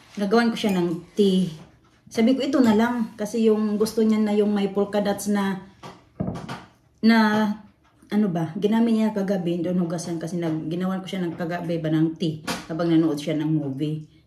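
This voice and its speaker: The speech comes at a moderate pace with ordinary pitch variation. Audible room echo and noticeable background noise are present. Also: woman, medium pitch for a woman. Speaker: vlogger and caregiver. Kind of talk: casual vlog chat.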